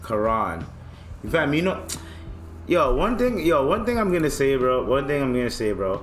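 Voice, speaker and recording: With a slight African accent, a man speaks with very wide pitch swings over music in the background. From African heritage. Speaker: podcast host. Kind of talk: casual rant. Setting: home studio. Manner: animated; loud.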